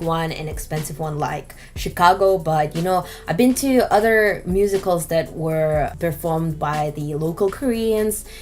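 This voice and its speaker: Spoken with a Russian accent at a moderate pace, this voice has ordinary pitch variation and hardly any pauses, with music playing in the background. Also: woman. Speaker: beauty vlogger. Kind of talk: makeup tutorial vlog. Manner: casual, chatty with fillers.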